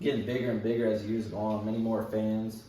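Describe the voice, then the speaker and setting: The man's voice is fairly low in pitch, with audible room echo and noticeable background noise around it. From Ireland. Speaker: student. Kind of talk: class speech. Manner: casual, filler-heavy.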